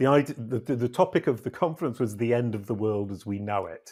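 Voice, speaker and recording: Recorded very cleanly against a silent background, a man speaks with a British accent. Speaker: SEO consultant and company CEO. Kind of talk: interview podcast.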